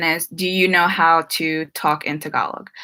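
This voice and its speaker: A woman with a slight New Jersey accent speaks at a fairly low pitch with a bright, sharp tone. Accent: American, slight New Jersey. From New Jersey, US (Filipino family). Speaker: YouTuber. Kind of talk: live stream Q&A. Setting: live stream. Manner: casual, many fillers.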